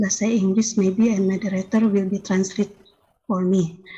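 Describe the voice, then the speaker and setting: Somewhat breathy and dark, mellow in tone, the voice carries an Indonesian accent with monotone, flat intonation. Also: woman. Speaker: academic presenter. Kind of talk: academic presentation. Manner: halting.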